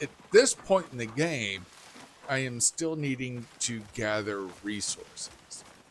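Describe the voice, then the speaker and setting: Noticeable background noise sits under a voice that moves at a very slow pace with lively intonation. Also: man, medium pitch for a man. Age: 50s. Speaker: gaming youtuber. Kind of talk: gameplay commentary. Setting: at home at night. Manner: quiet.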